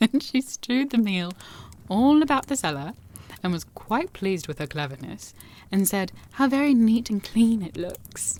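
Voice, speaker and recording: A woman's fairly high voice is somewhat breathy and swings very widely in pitch. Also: moderate pace. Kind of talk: fairy tale reading aloud with casual asides. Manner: soft-spoken.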